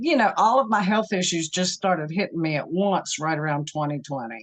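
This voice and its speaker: A woman with an unremarkable speaking voice talks in a fairly low pitch with ordinary pitch variation. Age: 60s. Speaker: program participant sharing health story. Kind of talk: interview testimony.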